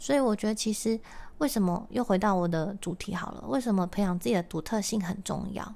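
On a very clean recording with a silent background, a woman speaks at a fairly quick pace and medium pitch. Her tone is dark and mellow, with ordinary pitch variation. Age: 30s. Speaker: podcast host and musician. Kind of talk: casual solo talk.

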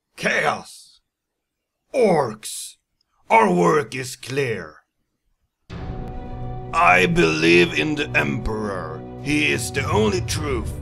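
A man does a raspy, put-on character voice at medium pitch with very wide pitch swings. He speaks at a very slow pace with long, frequent pauses as faint music plays in the background. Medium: voice reel. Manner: commanding.

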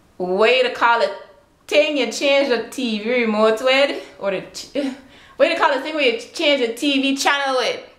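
Against a quiet background with audible room echo, a woman with a Virgin Islands accent talks at a high pitch, a moderate pace and ordinary pitch variation. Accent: Virgin Islands Creole. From British Virgin Islands. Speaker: vlogger. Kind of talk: casual talk to camera. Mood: playful, relaxed. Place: home room. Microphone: webcam.

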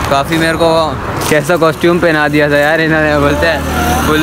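A man at a moderate pace, loud background noise behind him, and a dry sound with no echo. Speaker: vlogger. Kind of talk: casual vlog chat.

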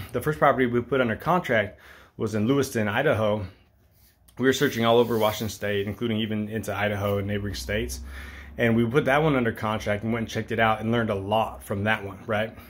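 A man speaks at a very fast pace. His pitch is fairly low, with ordinary pitch variation. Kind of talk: casual vlog chat. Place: home room. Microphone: phone near.

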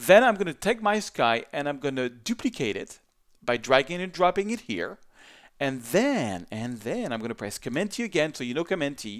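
A man with a French accent and a fairly high pitch, moderate pace, very wide pitch swings, in a very clean recording with a silent background. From France, Paris. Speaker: photographer and photo editing instructor. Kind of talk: tutorial. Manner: animated.

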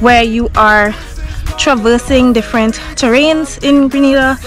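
A woman's high voice, fairly even in intonation, dry with no echo, over clear background music. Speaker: travel vlogger. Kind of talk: casual vlog chat. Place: open country. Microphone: phone near.

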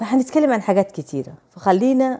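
Against a quiet background, a woman with an Egyptian accent speaks at a moderate pace in a dark, mellow tone with lively intonation. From Saudi Arabia, Somali family. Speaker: vlogger. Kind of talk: casual vlog chat. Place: home room. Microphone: lapel.

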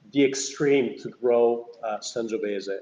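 A man with an Italian accent, medium pitch and fairly even intonation. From Veneto, Italy. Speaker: winery owner. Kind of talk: wine tasting discussion. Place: home room. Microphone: video call.

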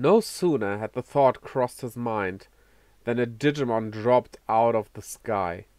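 Natural-sounding read-aloud voice, pitch moving in an ordinary way.

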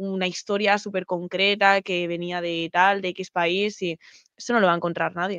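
A woman with a Spanish accent, in a dry recording with no echo. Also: quiet background. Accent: Peninsular Spanish. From Spain. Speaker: programming streamer; guest. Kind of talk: casual chat. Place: home room. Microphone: video call.

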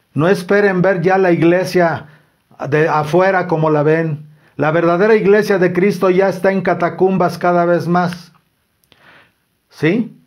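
Fairly slow and fairly even in intonation, this man's voice sits high in pitch.

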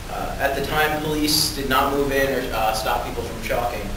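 Noticeable background noise and audible room echo behind a man talking at a fairly quick pace. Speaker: public commenter. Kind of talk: prepared public testimony. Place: hall. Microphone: camera far.

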